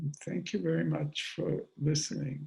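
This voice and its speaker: A man speaks at a fairly high pitch with vocal fry and a dark, mellow tone. His pace is fairly slow. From Austria. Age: 80s+. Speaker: theoretical chemist. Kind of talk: talk at a virtual book event.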